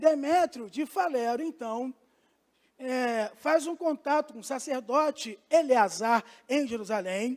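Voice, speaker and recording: A man speaks very slowly at an extremely high pitch, his loudness swinging widely, on a very clean recording with a silent background. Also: ordinary pitch variation. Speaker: pastor. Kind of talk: bible class lecture.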